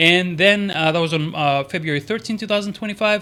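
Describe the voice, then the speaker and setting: Pitched high, a man speaks with a bright, sharp tone. He goes at a very fast pace with fairly even intonation. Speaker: stock market youtuber. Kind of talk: stock analysis commentary. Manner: hesitant, many fillers.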